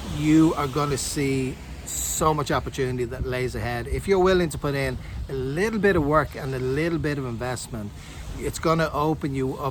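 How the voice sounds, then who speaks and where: Over noticeable background noise, a man speaks in a Dublin accent with an upbeat tone. His medium-pitched voice moves at a moderate pace with ordinary pitch variation. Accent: Irish (Dublin). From Dublin, Ireland. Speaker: online affiliate marketer. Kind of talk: motivational talk to camera. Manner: upbeat, encouraging.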